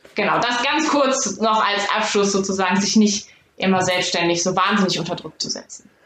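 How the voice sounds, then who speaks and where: Noticeable background noise runs under this woman's voice. She keeps a medium pitch and a moderate pace. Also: ordinary pitch variation. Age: 20s. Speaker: sports scientist doing movement diagnostics. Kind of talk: interview.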